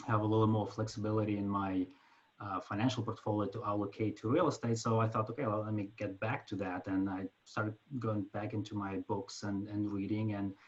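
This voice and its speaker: A man with a Ukrainian accent, somewhat breathy and fairly low-pitched, speaking at a fairly quick pace in a flat monotone. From Ukraine. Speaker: finance executive and passive investor. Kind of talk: self-introduction in an online group meeting. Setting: video call. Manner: halting, many fillers.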